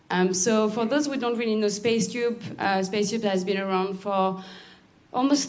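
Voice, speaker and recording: In a French accent, a woman speaks at a moderate pace, with audible room echo around her voice. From France. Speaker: accelerator program lead. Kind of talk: presentation.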